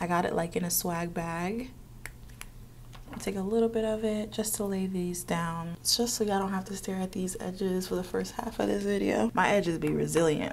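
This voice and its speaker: Audible room echo surrounds a woman speaking at a medium pitch and a fairly quick pace with fairly even intonation. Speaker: beauty vlogger. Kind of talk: get-ready-with-me makeup tutorial. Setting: office. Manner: casual, chatty with fillers.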